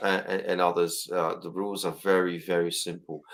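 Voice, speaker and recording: Fairly quick delivery in a British accent, on a very clean recording with a silent background. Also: man. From Britain. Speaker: motorcycle channel host. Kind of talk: livestream interview.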